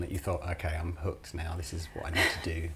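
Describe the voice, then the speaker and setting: A man with an English accent speaks over noticeable background noise. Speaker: podcast host at a music shop channel. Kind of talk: casual interview. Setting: studio.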